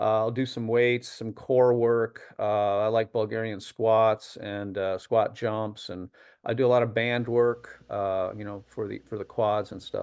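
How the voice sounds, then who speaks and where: Speaking at a fairly slow pace with an American accent, a man keeps a monotone, flat intonation while his loudness swings widely. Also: medium pitch for a man, hardly any pauses. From upstate New York. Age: 60s. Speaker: masters sprinter and music professor. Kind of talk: interview. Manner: halting, many fillers.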